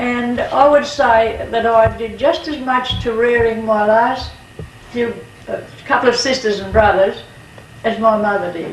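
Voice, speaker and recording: A woman with a rural Australian accent speaks at a fairly slow pace and fairly high pitch, with fairly even intonation. Audible room echo and noticeable background noise fill the recording. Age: 80s+. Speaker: farmer's wife. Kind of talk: oral history interview.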